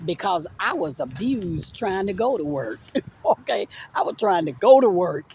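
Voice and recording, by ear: A woman speaks at a fairly slow pace in a fairly low voice that swings widely in pitch, with a slightly mellow tone and a husky, rough edge.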